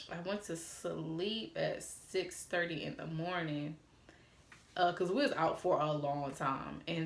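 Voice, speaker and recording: Over audible room echo, a woman with a slight Atlanta accent speaks in an animated tone, her fairly low voice showing ordinary pitch variation. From Atlanta, Georgia, US South. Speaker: YouTuber. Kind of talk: storytime vlog.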